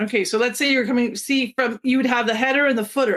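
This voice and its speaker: A woman's high-pitched voice at a very fast pace. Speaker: software trainer. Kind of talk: webinar tutorial.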